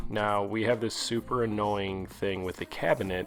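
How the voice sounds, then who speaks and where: Music plays in the background as a man with fairly low pitch speaks at a moderate pace. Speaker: husband of the channel owner doing a comedic voiceover. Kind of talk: casual humorous voiceover narration.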